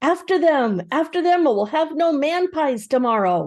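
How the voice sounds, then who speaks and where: A put-on character voice, bellowing at a high pitch and moderate pace against a quiet background. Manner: roaring, gleefully menacing.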